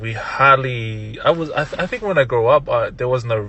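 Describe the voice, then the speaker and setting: In a Tongan accent, a man at medium pitch talks at a moderate pace with ordinary pitch variation. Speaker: music producer and DJ. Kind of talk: casual podcast interview.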